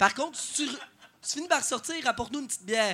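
A man with a bright, sharp tone projects a raised voice at an extremely high pitch. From Beauce, Quebec. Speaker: stand-up comedian. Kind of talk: stand-up. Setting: stage with live audience.

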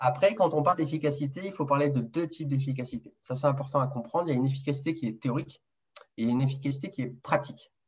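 A somewhat breathy man talks very fast at a fairly high pitch. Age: 30s. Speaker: nurse and male contraception developer. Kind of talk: interview. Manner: hesitant, repeats words.

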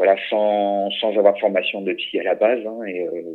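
A man is speaking. His pace is fairly slow. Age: 50s. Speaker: humanitarian security trainer. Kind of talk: interview. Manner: halting.

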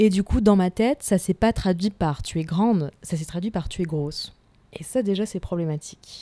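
At a moderate pace, a woman speaks in a dark, mellow tone with ordinary pitch variation. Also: medium pitch for a woman. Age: 20s. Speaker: works in contemporary art. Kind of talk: interview conversation. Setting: at her home on a sofa.

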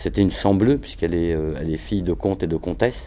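Very deep and low, a man's voice has vocal fry and a dark, mellow tone. He speaks at a very fast pace. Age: 50s. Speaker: hip-hop choreographer and dancer. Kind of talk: interview.

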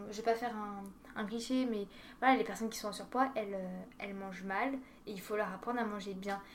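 Room echo is audible as a woman speaks fairly quickly at a fairly high pitch, her intonation monotone and flat, with long, frequent pauses and big swings in loudness. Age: 20s. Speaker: dietetics student. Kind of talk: casual chat.

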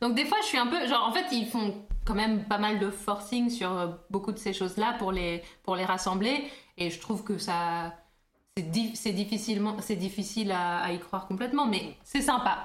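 A woman at a medium pitch with a slight English accent, moderate pace and ordinary pitch variation, in audible room echo. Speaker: podcast co-host. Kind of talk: casual chat.

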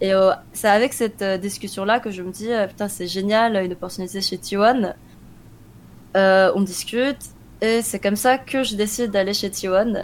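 A woman speaks in a normal speaking voice at medium pitch, fairly slow, with fairly even intonation. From France, Korean-born. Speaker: esports team manager and analyst. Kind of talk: interview.

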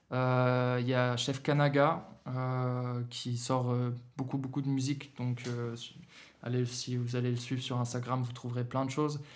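A man speaks at a fairly slow pace and medium pitch, with monotone, flat intonation. Room echo can be heard. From Germany, Berlin. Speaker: rapper and singer. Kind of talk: casual interview. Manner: halting, hesitant.

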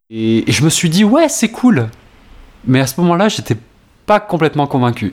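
The voice moves at a moderate pace with very wide pitch swings and long, frequent pauses. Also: man, fairly high pitch for a man. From Poitou, France. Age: 20s. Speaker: musical theatre student. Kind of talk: interview. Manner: halting.

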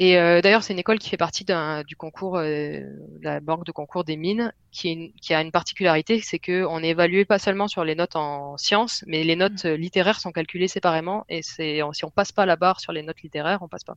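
In a plain, everyday voice, a woman speaks fairly low and fairly quickly, with fairly even intonation, big swings in loudness, and a dry, close sound with no echo. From southwest France. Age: 30s. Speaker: software developer. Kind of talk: casual interview.

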